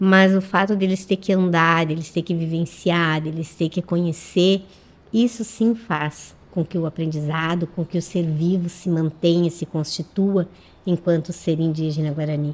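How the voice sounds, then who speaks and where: A woman talks at a fairly slow pace with fairly even intonation. She has an ordinary speaking voice, fairly low in pitch. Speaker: schoolteacher. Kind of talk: radio interview. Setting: radio studio.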